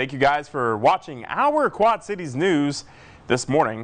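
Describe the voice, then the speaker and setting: An ordinary speaking voice with lively intonation. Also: man. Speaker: meteorologist. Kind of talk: TV weather forecast talk.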